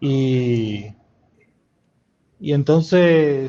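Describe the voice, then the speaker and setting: A man speaks with a fairly high-pitched voice. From eastern Cuba, Santiago de Cuba. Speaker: filmmaker and journalist. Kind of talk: interview conversation. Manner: halting, many repetitions.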